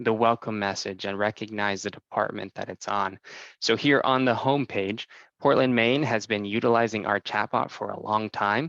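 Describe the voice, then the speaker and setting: A moderate pace and fairly even intonation in a dry, close sound with no echo, over a quiet background. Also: man. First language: Spanish. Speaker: software sales presenter. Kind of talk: product demo presentation.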